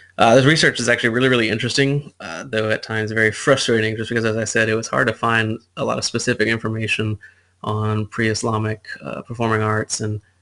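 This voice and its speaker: A bright, sharp tone marks this man's voice. He speaks fairly quickly. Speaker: student presenting research. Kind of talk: class presentation. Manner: fast; halting, many fillers.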